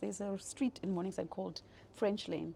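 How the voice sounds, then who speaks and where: A woman with a dark, mellow tone talks at a medium pitch, somewhat breathy and with fairly even intonation. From South Africa, Johannesburg area. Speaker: business executive. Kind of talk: interview, personal life story. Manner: hesitant, many fillers.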